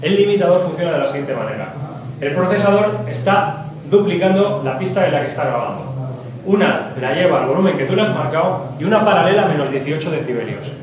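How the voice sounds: A man talks fast with lively intonation and a fairly high pitch. Audible room echo surrounds his voice.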